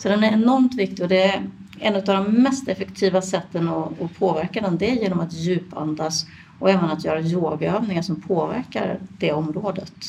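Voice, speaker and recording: A woman speaks in a normal speaking voice, pitched fairly low. Her pace is moderate and her pitch varies in an ordinary way. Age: 50s. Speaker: midwife and yoga teacher. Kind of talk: interview.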